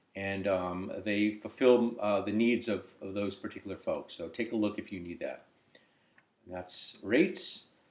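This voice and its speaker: A man speaks with a fairly low pitch and fairly even intonation at a fairly slow pace. His loudness swings widely. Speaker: software developer demonstrating app. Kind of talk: tutorial. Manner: hesitant, many fillers.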